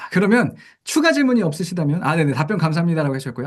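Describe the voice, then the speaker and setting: Lively intonation marks a man's fairly high voice as he talks at a very fast pace. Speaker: company CEO presenting education program. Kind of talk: online product briefing with Q&A.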